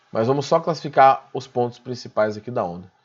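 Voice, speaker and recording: The background stays quiet. A man talks at a medium pitch. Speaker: physics teacher. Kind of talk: online class lecture. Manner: fast; informal, conversational.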